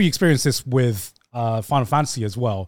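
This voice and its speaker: The recording is very clean and the background silent. In it, a man talks. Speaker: podcast co-host. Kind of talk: casual chat.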